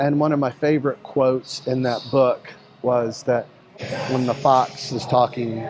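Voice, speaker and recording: A man's medium-pitched voice stays monotone and flat, with noticeable background noise around it. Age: 60s. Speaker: fitness coach. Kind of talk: workout vlog with casual talk.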